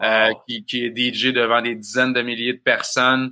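In a very clean recording with a silent background, a man speaks at a moderate pace in a bright, sharp tone with monotone, flat intonation. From Quebec, Bas-Saint-Laurent. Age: 30s. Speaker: festival organizer. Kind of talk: interview.

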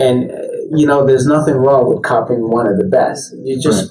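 A man's medium-pitched voice with ordinary pitch variation at a moderate pace, against noticeable background noise. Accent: American. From Colombia, raised in the US from early childhood. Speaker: fashion designer and company design officer. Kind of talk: interview.

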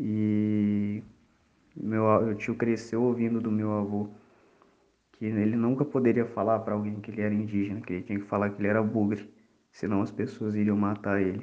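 A man at a moderate pace, fairly low in pitch, with monotone, flat intonation. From Brazil, Espírito Santo. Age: 20s. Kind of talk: personal testimony.

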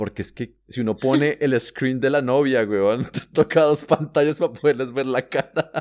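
A man with a plain, everyday voice talks at a moderate pace and medium pitch, with ordinary pitch variation, hardly any pauses, and a dry, close sound with no echo. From Colombia. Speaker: travel podcast co-host. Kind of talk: casual chat.

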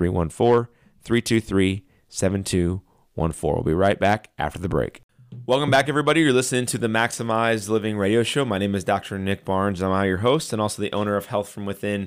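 This is a plain, everyday voice, moving fairly quickly and rising and falling in an ordinary way. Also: man, fairly low pitch for a man. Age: 30s. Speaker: chiropractor and radio show host. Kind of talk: infomercial. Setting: radio show. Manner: urgent, salesy and persuasive, repeating price and phone number.

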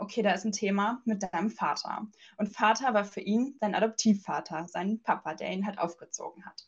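A woman's fairly high, somewhat breathy voice at a moderate pace, with fairly even intonation. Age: 20s. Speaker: life coach and energy healer. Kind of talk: interview.

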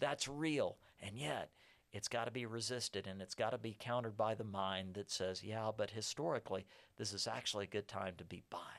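A man with a Texan accent speaks at a fairly quick pace, his pitch fairly low with ordinary variation. The recording is very clean, with a silent background. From South Texas. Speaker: economist. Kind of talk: casual interview.

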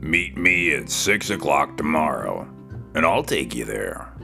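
A raspy, growling put-on character voice comes at a fairly slow pace with clear music in the background. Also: man. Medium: read story. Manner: growly, sly.

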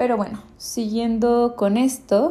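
The tone is dark and mellow. A woman delivers her words very slowly. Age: 20s. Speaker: podcaster. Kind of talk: solo monologue podcast.

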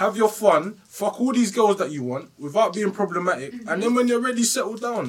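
High-pitched man with a British accent, fairly quick pace and lively intonation, amid noticeable background noise. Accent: British urban. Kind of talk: casual chat. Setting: studio.

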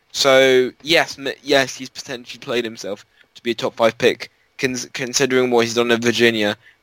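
A man with an ordinary speaking voice talks at a moderate pace in a medium pitch, with fairly even intonation. His loudness swings widely, and the sound is dry and close with no echo. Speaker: podcast co-host, wheelchair user. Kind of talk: casual sports debate.

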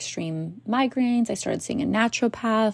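A woman with a Canadian accent speaks in an animated tone on a very clean recording with a silent background. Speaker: podcast host and business coach. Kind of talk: solo podcast monologue. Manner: animated, frequent laughter.

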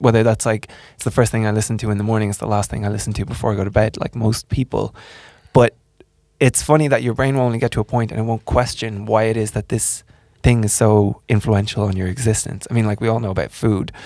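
A man with an Irish accent at a very fast pace, fairly low in pitch, dark and mellow in tone, with fairly even intonation. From Ireland. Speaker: podcast host. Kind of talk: casual interview.

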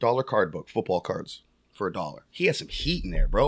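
A man speaks in an animated tone at a moderate pace. The recording is very clean with a silent background, and the sound is dry and close with no echo. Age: 30s. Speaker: sports card dealer. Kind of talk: casual chat.

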